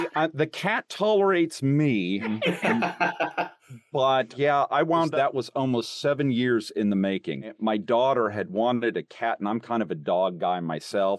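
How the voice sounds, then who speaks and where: Noticeable background noise around a man at a medium pitch, fairly slow pace, with very wide pitch swings. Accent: American. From Texas. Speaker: voice actor. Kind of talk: interview answer.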